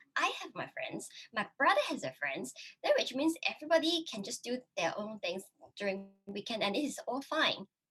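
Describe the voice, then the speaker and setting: A woman with a Cantonese accent at a moderate pace. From Hong Kong. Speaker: YouTuber. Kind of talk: casual interview chat. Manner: halting, many fillers.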